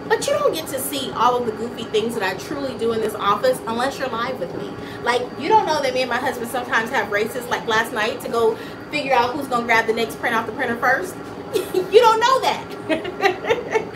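A woman speaks loudly and at a fairly quick pace in a high pitch, her tone animated and her intonation lively. Noticeable background noise runs underneath. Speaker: small business owner, live streamer. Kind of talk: casual live stream chat. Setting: home studio, live stream. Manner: talkative, animated. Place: office. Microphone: phone near.

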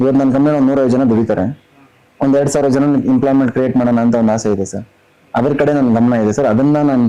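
Background noise is noticeable throughout. Intonation remains fairly even. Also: man, medium pitch for a man. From North Karnataka, Belagavi district. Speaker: businessman and reality show contestant. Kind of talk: interview.

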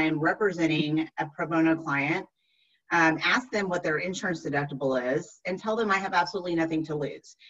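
At a fairly quick pace, a speaker with an American accent talks against a quiet background. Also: woman. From Texas. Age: 40s. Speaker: attorney. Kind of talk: lecture. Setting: video call. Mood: engaged, lightly humorous. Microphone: video call.

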